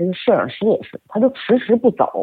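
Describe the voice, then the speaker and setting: A woman speaking at a fairly quick pace. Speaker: media and event producer. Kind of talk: storytelling interview.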